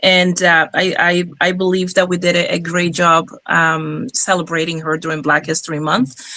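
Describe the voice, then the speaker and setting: A woman with a fairly low pitch talks at a fairly quick pace with fairly even intonation against noticeable background noise. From Cuba. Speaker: jazz singer. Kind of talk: interview. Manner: halting.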